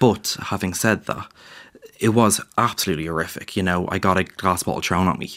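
With an Irish accent, a man talks at a fairly quick pace in a very deep, low pitch and fairly even intonation. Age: 20s. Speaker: graphic designer and illustrator. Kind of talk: interview. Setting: studio.

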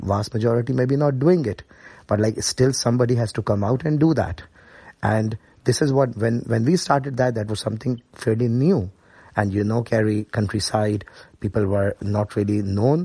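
Against a quiet background, a man of medium pitch with a dark, mellow tone and a somewhat breathy voice talks at a moderate pace with ordinary pitch variation. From Pakistan, Karachi. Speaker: paediatrician. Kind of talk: interview.

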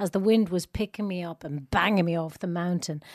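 A woman speaks with a fairly low pitch. Her sound is dry and close, with no echo. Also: very clean recording, silent background. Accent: slight Irish. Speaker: actress. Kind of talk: casual chat. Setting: studio. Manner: animated.

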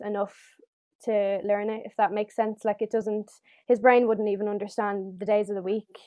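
A woman with a Dublin accent and a fairly high pitch. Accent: Dublin Irish. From Ireland, Dublin. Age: 18. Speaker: former young carer, nursing student. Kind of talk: casual chat.

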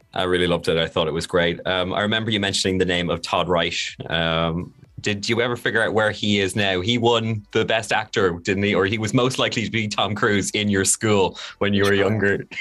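Fairly low and bright, sharp in tone, a man's voice carries an Irish accent with fairly even intonation. He talks at a fairly quick pace with very even loudness. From Ireland. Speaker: radio host. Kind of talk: casual chat.

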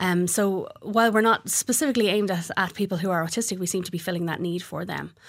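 A woman is speaking here with an Irish accent. She talks at a very fast pace. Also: medium pitch for a woman, ordinary pitch variation. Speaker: craft business owner. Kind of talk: radio interview. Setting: studio.

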